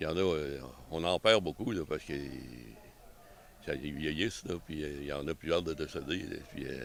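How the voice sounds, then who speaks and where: A man speaks in a very deep, low pitch with vocal fry. His pace is fairly quick and his pitch variation ordinary. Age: 70s. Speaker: member of a historical arquebus association. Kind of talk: casual interview. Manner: halting, with many repetitions.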